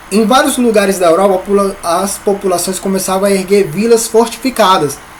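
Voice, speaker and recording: A man talks at a high pitch and a moderate pace. Noticeable background noise runs behind him. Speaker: Sunday school teacher. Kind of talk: Bible lesson. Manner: halting, repeats words.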